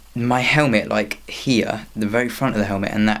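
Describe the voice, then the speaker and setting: A man with a British accent speaks fairly slowly, with fairly even intonation and vocal fry. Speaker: vlogger. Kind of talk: casual vlog.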